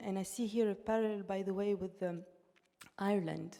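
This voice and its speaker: A woman with a Russian accent speaks at a moderate pace in a medium pitch, her tone dark and mellow and her intonation flat and monotone. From Tunisia, in a Russian-speaking diaspora. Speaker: artist. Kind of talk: panel discussion. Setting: stage with audience, streamed online. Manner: halting, with false starts.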